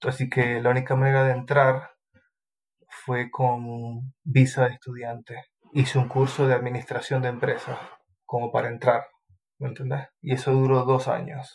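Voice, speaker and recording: Keeping a monotone, flat intonation, a man speaks at a medium pitch and a fairly slow pace. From Venezuela, Maracaibo. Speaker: civil engineer. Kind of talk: interview.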